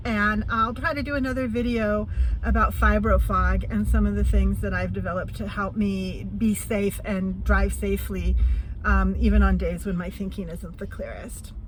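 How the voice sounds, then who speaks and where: A woman talks at a moderate pace while noticeable noise fills the background. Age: 50s. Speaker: van-life vlogger. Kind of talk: casual talk to camera. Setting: in a vehicle.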